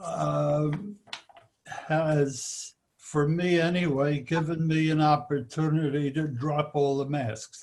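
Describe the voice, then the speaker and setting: Speaking at a very slow pace, a man keeps his fairly high pitch on a fairly even line. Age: 80s+. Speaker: study group participant. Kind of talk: casual discussion.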